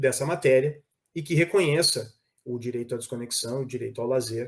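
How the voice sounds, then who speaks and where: Fairly high pitch from a man, varying in an ordinary way. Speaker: labor prosecutor. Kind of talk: panel talk.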